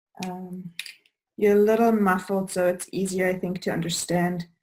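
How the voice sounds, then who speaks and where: A woman with a German accent talks at a moderate pace with a medium pitch and monotone, flat intonation. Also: long, frequent pauses. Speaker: birth course host and doula. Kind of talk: casual interview.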